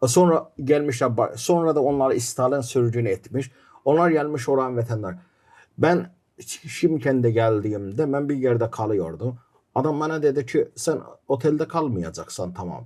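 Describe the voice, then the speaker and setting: A man with an Azerbaijani accent, a dark, mellow tone and lively intonation, on a very clean recording with a silent background. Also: medium pitch for a man, fairly slow pace. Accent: Azerbaijani accent in Turkish. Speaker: documentary filmmaker. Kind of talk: podcast interview.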